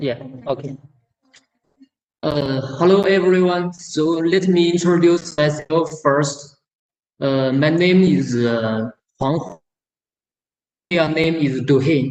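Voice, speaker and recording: A man's fairly high voice in a Chinese accent, at a very slow pace with long, frequent pauses and ordinary pitch variation. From China, Sichuan province. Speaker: company general manager. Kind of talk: presentation. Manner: halting.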